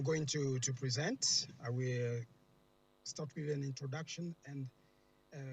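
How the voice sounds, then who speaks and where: A man, somewhat breathy, moving at a fairly slow pace. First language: French. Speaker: researcher. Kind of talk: conference presentation. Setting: remote video presentation. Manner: hesitant, many fillers.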